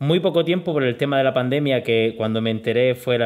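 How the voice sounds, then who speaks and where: An unremarkable speaking voice from a man, at medium pitch with ordinary pitch variation. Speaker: interviewer and programming teacher. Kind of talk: interview.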